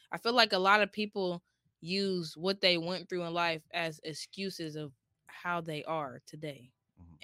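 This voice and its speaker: Loudness swings widely as a woman with an American accent speaks at a moderate pace. Her tone is bright and sharp, her intonation fairly even, and the sound dry and close with no echo. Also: fairly low pitch for a woman. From US Midwest (Columbus, Ohio). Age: 20s. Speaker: content creator. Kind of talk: casual chat.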